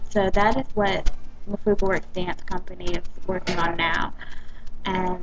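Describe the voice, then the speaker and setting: A woman with an American accent, fairly even intonation, and noticeable background noise. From US South, South Carolina. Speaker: dance company owner. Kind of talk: personal video blog. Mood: warm, grateful. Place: cafe. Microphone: webcam.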